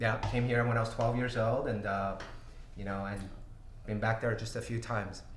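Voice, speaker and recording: A man speaks in a somewhat breathy, monotone voice at a medium pitch and a moderate pace. Long, frequent pauses break it up, and audible room echo surrounds him. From Brazil, São Paulo. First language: Portuguese. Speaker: tech company CEO. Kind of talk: livestream Q&A. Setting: livestream. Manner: halting, many fillers.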